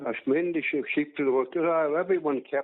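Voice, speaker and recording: With a Donegal accent, a man talks at a moderate pace. His pitch variation is ordinary. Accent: Donegal Irish. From Ireland, County Donegal. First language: Irish. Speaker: farmer. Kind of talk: oral history interview. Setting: phone call. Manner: halting.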